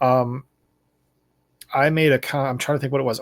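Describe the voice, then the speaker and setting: A man's medium-pitched, monotone voice with flat intonation, dry and close with no echo, on a very clean recording with a silent background. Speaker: video blogger. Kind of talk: casual monologue. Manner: fast.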